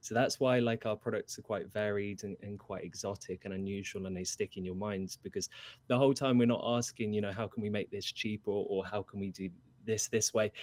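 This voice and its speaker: A man speaks at a fairly quick pace in a British accent with fairly even intonation. The recording is very clean with a silent background and a dry, close sound with no echo. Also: fairly low pitch for a man. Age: 20s. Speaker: furniture and product designer. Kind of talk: interview.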